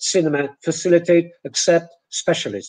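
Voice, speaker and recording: Here a man with a Polish accent talks at a fairly slow pace. His voice is high in pitch, with ordinary pitch variation. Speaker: English teacher, lecturer. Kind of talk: online lecture, webinar. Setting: webinar, video call. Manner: slow, deliberate, repeating words for comparison.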